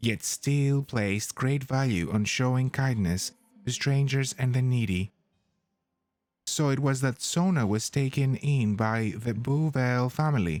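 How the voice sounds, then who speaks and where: A soft-spoken man at medium pitch, gentle in tone, very even in loudness, at a fairly slow pace. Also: ordinary pitch variation. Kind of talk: soft-spoken ASMR-style lore reading. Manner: soft-spoken, gentle.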